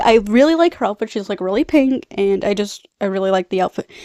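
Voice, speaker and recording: The woman's dark, mellow voice carries lively intonation in a dry, close sound with no echo. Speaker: video reviewer. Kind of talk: casual chat. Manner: rambling, casual.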